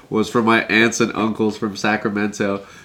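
Talking at a moderate pace, a man with an American accent has a medium pitch and a bright, sharp tone. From Southern California, Anaheim area. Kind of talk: casual chat.

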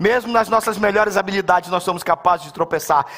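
The tone is animated and the pace fairly quick. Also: man. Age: 50s. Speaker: pastor. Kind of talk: sermon.

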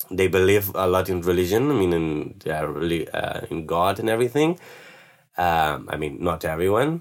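A very deep, low male voice with lively intonation at a moderate pace, in a very clean recording with a silent background. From Spain, Barcelona. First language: Spanish or Catalan. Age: 20s. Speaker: backpacker. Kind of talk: interview. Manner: halting.

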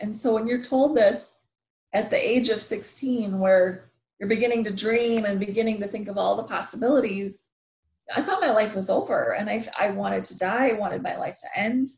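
A woman's fairly high, somewhat breathy voice with an American accent, at a moderate pace with ordinary pitch variation. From US Midwest, Wisconsin. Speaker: motivational speaker. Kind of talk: interview.

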